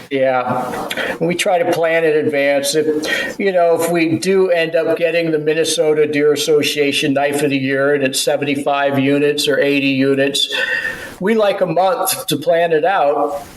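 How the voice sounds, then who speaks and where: A man's fairly high voice at a moderate pace, very even in loudness with ordinary pitch variation, noticeable background noise and audible room echo. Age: 60s. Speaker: knife maker and business owner. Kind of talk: casual chat. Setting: podcast interview.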